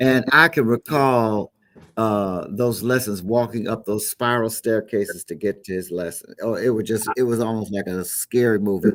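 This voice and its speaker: Here a man with an American accent uses a normal speaking voice at a medium pitch and moderate pace, with ordinary pitch variation. The sound is dry and close with no echo, in a very clean recording with a silent background. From Chicago. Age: 60s. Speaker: gospel musician. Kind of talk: interview.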